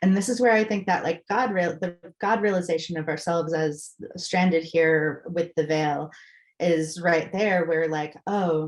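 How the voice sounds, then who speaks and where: In an American accent, a woman with a plain, everyday voice speaks at a fairly slow pace and a fairly low pitch, with ordinary pitch variation. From Massachusetts. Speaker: spiritual guest. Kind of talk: casual chat.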